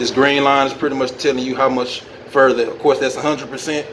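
A man speaks with noticeable background noise. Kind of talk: tutorial. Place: factory. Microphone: phone near.

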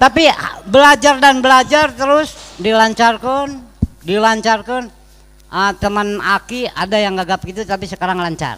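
Using a raised, projected voice, a man with a high pitch speaks at a moderate pace with ordinary pitch variation. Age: 80s+. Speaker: veteran actor and community elder; guest. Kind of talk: religious talk show interview. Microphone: handheld.

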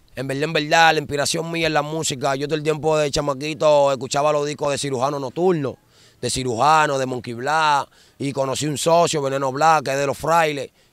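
A man with a Dominican accent speaks at a fairly quick pace. His pitch is fairly high and his intonation monotone and flat. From Dominican Republic, Santo Domingo (La Ciénaga, Guachupita). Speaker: former street gang member turned dembow singer. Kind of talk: interview.

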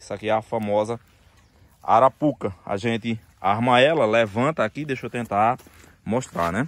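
The speech moves at a moderate pace with ordinary pitch variation, and the sound is dry with no echo over a quiet background. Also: man. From rural Northeast Brazil (sertão). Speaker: construction vlogger. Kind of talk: casual vlog. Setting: outdoors. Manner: animated. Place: open country. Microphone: phone near.

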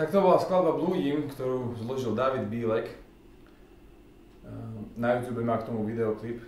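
A man speaks at a moderate pace with ordinary pitch variation, leaving long, frequent pauses. The room has an audible echo, and there is light background noise. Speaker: double bassist and bass guitarist. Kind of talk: casual talk to camera. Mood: calm, reflective. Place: home room. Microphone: camera far.

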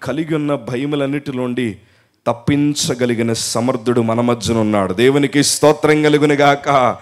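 This is a man with an unremarkable speaking voice. His pitch sits fairly high. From coastal Andhra Pradesh, India. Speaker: pastor. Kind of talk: sermon.

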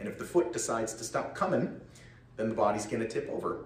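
A man with an American accent talks very fast amid light background noise and audible room echo. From Connecticut (Middletown); Connecticut. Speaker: parishioner giving witness talk; witness. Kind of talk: testimony. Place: hall. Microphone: handheld.

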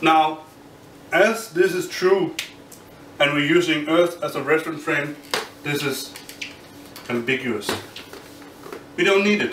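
A man with a Danish accent, fairly high in pitch with ordinary variation, at a fairly slow pace with long, frequent pauses, amid audible room echo and light background noise. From Denmark. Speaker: physics graduate student. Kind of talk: explainer tutorial; lecture. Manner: halting. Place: home room.

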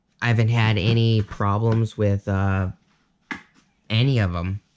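At a fairly slow pace, a man talks with a fairly low pitch, fairly even intonation and a slightly mellow tone.

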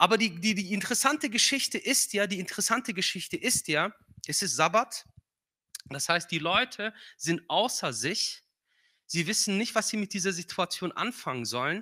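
Against a quiet background, a raised, projected voice with a bright, sharp tone and lively intonation speaks at a moderate pace with a non-native accent. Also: man, high pitch for a man. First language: not German (speaking German). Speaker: guest preacher; preacher. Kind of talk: sermon. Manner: hesitant with filler sounds. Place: church. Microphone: handheld.

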